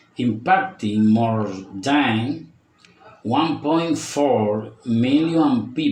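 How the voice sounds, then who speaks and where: A man speaks at a very slow pace with ordinary pitch variation, amid audible room echo and noticeable background noise. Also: medium pitch for a man. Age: 40s. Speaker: language student. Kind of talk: prepared speaking presentation. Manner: deliberate, reading-like.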